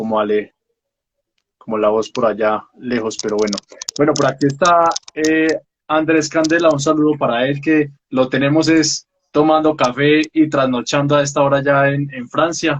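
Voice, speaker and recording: Moving at a moderate pace, a plain, everyday voice carries ordinary pitch variation. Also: man. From Colombia, Pereira. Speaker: book talk show host. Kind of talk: casual interview.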